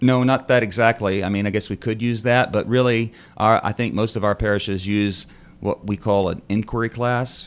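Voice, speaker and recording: Someone speaks with a Texan accent at a moderate pace in a monotone, flat way. The recording is very clean, with a silent background. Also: man, medium pitch for a man. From North Texas. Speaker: priest. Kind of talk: radio interview. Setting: studio.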